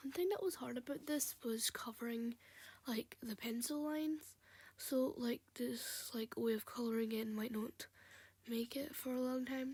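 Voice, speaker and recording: Soft-spoken, at a fairly slow pace. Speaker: hobby digital artist. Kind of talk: casual drawing voiceover. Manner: quiet, soft.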